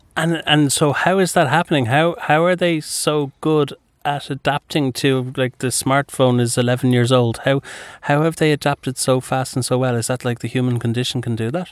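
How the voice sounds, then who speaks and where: A plain, everyday voice moves at a moderate pace with fairly even intonation, recorded dry and close with no echo. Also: man, medium pitch for a man. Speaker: radio host. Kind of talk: radio interview. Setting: studio.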